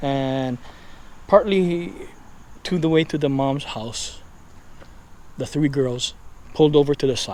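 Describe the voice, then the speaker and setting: Quiet and at a fairly slow pace with long, frequent pauses, a man speaks in a Hawaiian accent with a fairly high pitch and ordinary pitch variation. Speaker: paranormal YouTuber. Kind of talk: casual storytelling while walking. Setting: outdoors, neighborhood street at night. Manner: hushed, quiet.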